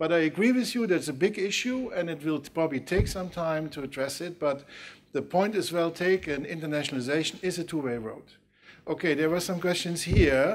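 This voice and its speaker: A man with a Dutch accent speaks at a moderate pace in a fairly high pitch. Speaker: university official moderating debate. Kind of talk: panel debate. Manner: halting.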